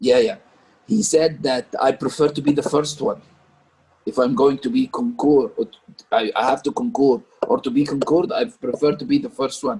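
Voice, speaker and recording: A man with an Arabic accent speaks at a fairly high pitch and a moderate pace. His pitch swings very widely. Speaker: parent discussion leader. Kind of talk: group discussion. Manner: halting.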